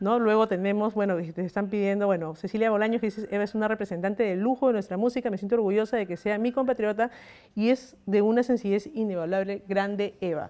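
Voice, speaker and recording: A very fast woman's voice, dark and mellow in tone, with fairly even intonation. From Peru. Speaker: news agency journalist. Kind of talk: interview. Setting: live stream. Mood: warm, smiling. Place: home room. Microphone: handheld.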